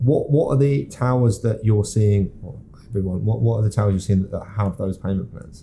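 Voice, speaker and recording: A man speaks fairly quickly with a Yorkshire accent, his tone dark and mellow. His fairly low pitch varies in an ordinary way, and his voice is somewhat breathy. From Yorkshire, northern England. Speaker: podcast host, property agent. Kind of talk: casual podcast chat.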